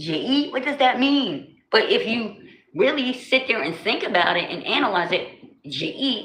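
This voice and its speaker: With a New Jersey accent and an animated tone, a woman speaks at a fairly slow pace with very wide pitch swings and audible room echo. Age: 40s. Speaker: livestreamer. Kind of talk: casual chat. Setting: livestream.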